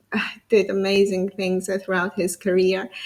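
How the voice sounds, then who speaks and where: This is a woman with an Italian accent. Her pitch sits in the medium range. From Italy. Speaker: interview show host. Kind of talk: interview. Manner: halting.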